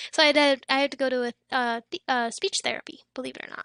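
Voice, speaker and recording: Raised and projected, a woman's high voice has a bright, sharp tone and monotone, flat intonation at a moderate pace, recorded dry and close with no echo over a quiet background. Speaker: livestreamer. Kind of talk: casual chat. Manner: halting.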